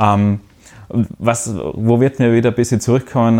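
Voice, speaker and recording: Over a silent background in a very clean recording, a man talks with monotone, flat intonation. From Austria. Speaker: social media analyst. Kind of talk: casual chat.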